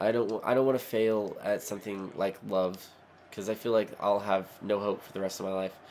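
A man speaks at a moderate pace in a fairly low, monotone voice with flat intonation. His loudness swings widely. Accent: American. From Oklahoma. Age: 20s. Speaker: gaming YouTuber. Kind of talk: gameplay commentary. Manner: rambling.

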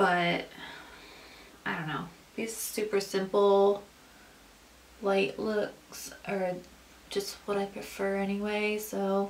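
Woman speaking very slowly in a flat monotone, with long, frequent pauses and light background noise. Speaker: beauty vlogger. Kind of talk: makeup tutorial chat. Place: home room. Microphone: camera far.

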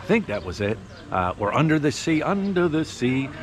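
In a dry sound with no echo, a man talks at a moderate pace over noticeable background noise. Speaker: diving vlogger. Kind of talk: casual vlog chat. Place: street. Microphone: phone near.

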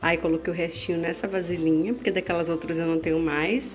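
A woman speaks with faint music in the background. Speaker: mother vlogger. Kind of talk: casual vlog chat. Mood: warm, affectionate. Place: kitchen. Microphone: phone near.

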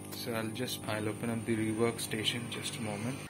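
A man's voice over noticeable background noise. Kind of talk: tutorial. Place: workshop. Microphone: phone near.

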